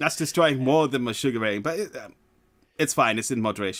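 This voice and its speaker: In a British accent, a man talks at a very fast pace on a very clean recording with a silent background. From England. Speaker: streamer. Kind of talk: casual chat.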